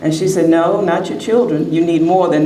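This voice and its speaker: Audible room echo and noticeable background noise surround a woman speaking at a moderate pace in a fairly low pitch. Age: 70s. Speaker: author. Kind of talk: short speech at book expo.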